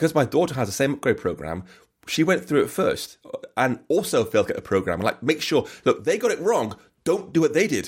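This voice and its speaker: Speaking at a fairly quick pace, a man talks with an English accent. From England. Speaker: software developer and author. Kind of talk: casual chat. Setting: video call. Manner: fast talker.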